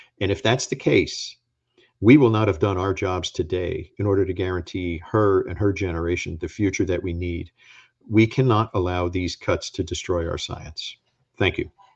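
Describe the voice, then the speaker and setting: Over a quiet background, a man with a very deep, low voice speaks at a moderate pace, somewhat breathy, with ordinary pitch variation. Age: 60s. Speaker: former agency administrator and scientist. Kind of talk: talk with slides. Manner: emphatic.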